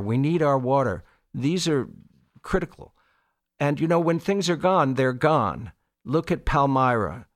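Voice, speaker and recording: This man has an ordinary speaking voice, an American accent and a medium pitch. His intonation is lively, his pace moderate, and the recording is very clean with a silent background. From Long Island, New York. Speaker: radio station volunteer. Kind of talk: fundraising appeal. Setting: radio studio.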